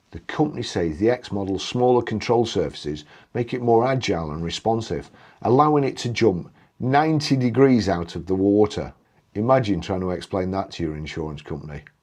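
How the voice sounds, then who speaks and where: Speaking at a fairly quick pace, a man with a British accent and a fairly low pitch makes very wide pitch swings. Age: 60s. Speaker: YouTuber. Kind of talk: casual video review. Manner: animated.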